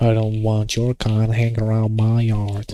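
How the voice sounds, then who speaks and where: A man puts on a character voice with a Southern US accent, the accent being part of the act. His medium pitch stays monotone and flat at a moderate pace. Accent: Southern American. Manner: rough, hostile.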